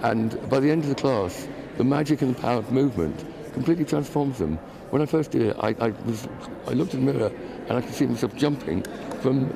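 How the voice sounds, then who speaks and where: A man at a very fast pace, with long, frequent pauses, ordinary pitch variation and noticeable background noise. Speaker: dancer living with Parkinson's. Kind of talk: TV interview. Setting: TV studio. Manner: halting, hesitant.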